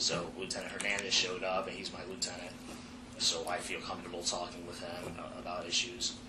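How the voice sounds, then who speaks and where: Fairly quick, fairly even intonation, with noticeable background noise and audible room echo. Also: man, very deep, low pitch for a man. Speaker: firefighter being interviewed in internal investigation. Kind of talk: formal investigation interview. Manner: loud.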